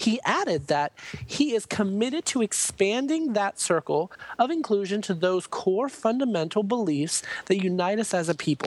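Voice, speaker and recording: A woman's medium-pitched voice at a moderate pace, very even in loudness yet with very wide pitch swings, over noticeable background noise. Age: 20s. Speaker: drag queen podcaster. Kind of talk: casual chat; reading aloud.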